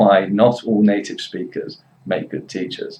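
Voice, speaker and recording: A man with a West Midlands accent talks at a moderate pace. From Worcester, England. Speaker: English teacher. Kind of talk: commentary to camera.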